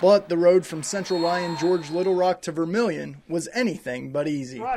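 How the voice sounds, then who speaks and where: High-pitched man with an energetic tone and moderate pace, over noticeable background noise. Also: ordinary pitch variation. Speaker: TV sports reporter and sports director. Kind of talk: TV sports news reporting, reel. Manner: narrating feature story voiceover, energetic on game calls.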